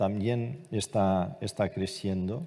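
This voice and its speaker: In a Portuguese accent, a man with a dark, mellow tone speaks at a very slow pace on a very clean recording with a silent background. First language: Portuguese (speaking Spanish). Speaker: ambassador. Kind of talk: panel discussion.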